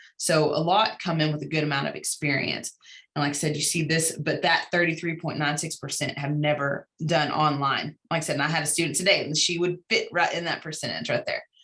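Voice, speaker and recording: A woman speaks with a bright, sharp tone. Her pitch is very deep and low. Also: fairly even intonation, hardly any pauses. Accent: American. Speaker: university instructor presenting research. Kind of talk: conference presentation. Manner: fast.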